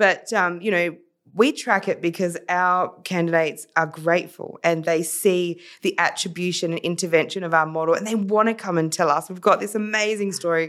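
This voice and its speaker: In a very clean recording with a silent background, a woman with an Australian accent speaks at a moderate pace in a fairly low pitch, her intonation fairly even. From South Australia, Adelaide. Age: 40s. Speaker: social entrepreneur. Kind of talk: casual interview.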